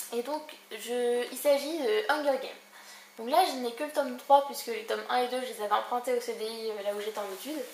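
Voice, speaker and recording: A woman's high voice at a fairly quick pace, with ordinary pitch variation, big swings in loudness and audible room echo. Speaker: book vlogger. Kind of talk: casual book review vlog. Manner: fast.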